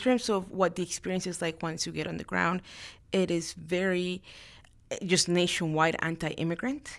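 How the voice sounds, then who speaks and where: With a Spanish accent, a woman talks at a moderate pace and with fairly even intonation on a very clean recording with a silent background. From Latin America, immigrated to Houston, Texas at 13. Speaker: lawyer and congressional staffer. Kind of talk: interview.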